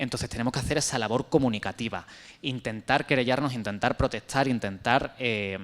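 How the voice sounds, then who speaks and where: Here a man talks at a fairly quick pace and medium pitch. His pitch variation is ordinary. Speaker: panel speaker on LGBTI health. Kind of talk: panel discussion. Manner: fast.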